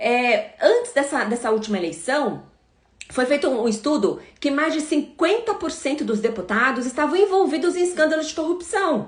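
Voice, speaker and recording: A woman with a high pitch talks at a medium speed, her pitch swinging very widely. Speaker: prosecutor and anti-corruption campaigner. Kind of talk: live stream Q&A. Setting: live stream. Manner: hesitant fillers.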